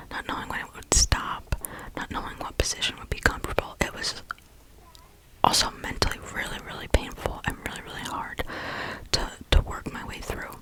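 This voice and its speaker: A woman's whisper with big swings in loudness, long, frequent pauses and noticeable background noise. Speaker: ASMR creator. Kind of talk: casual whisper ramble about health, storytime. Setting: studio, close microphone. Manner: whispered, soft-spoken.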